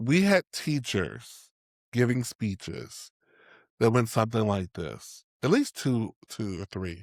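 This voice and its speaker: A man with a medium pitch and lively intonation speaks at a very slow pace, recorded very cleanly with a silent background and a dry, close sound with no echo. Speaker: podcast co-host, playwright and theatre teacher. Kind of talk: casual chat. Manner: sometimes mumbled, rough diction.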